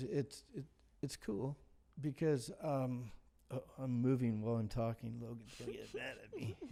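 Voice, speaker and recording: Speaking at a moderate pace, a man has a medium pitch and ordinary pitch variation. His tone is dark and mellow. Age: 60s. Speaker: artist, retired law enforcement. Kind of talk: casual chat. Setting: studio.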